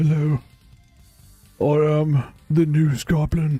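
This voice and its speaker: A man's put-on character voice, fairly high and monotone, at a very slow pace, with faint music in the background. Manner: silly, exaggerated.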